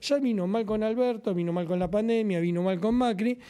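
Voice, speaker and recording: A man speaks with a Rioplatense accent at a high pitch and a fairly quick pace. His tone is dark and mellow, with lively intonation. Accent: Argentine Rioplatense Spanish. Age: 60s. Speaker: trade union leader. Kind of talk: political talk show discussion. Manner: animated.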